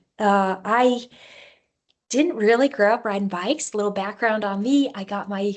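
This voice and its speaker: With an American accent, a woman speaks at a fairly slow pace in an ordinary speaking voice, her pitch fairly high with ordinary variation. The background is quiet. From Alaska. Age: 30s. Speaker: long-distance cyclist. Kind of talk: talk about own life. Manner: casual with fillers.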